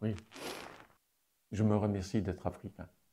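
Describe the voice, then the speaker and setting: The voice has a dark, mellow tone and is somewhat breathy. It moves at a fairly slow pace. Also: man. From Morocco (Fès, Casablanca). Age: 70s. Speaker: activist. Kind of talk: interview testimony. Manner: hesitant, many fillers.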